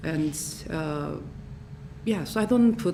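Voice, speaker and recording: Someone with a Korean accent speaks over noticeable background noise. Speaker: jazz singer, master's student. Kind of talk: Q&A after research presentation. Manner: halting, many fillers.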